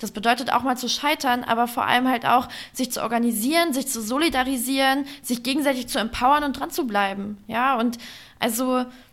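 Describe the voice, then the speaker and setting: Fairly quick in pace, a woman speaks at a high pitch. Her intonation stays fairly even. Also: very clean recording, silent background. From Germany, Upper Harz (Lower Saxony). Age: 20s. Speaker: youth politics leader and trade union secretary. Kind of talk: interview.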